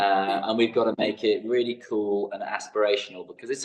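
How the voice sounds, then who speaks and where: The speaker is a man with a British accent. He talks at a fairly quick pace. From England. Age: 50s. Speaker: fitness educator. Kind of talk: podcast interview.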